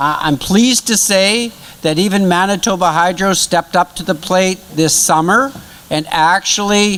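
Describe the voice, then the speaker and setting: A man with a high pitch and ordinary pitch variation speaks at a fairly slow pace. Noticeable background noise is present. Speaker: project presenter. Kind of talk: presentation. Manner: loud.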